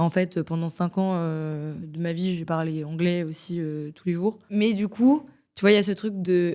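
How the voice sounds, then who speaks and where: A woman talks at a fairly slow pace in a fairly low pitch, her intonation fairly even. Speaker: singer-songwriter. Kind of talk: casual interview chat. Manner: hesitant, many fillers (euh).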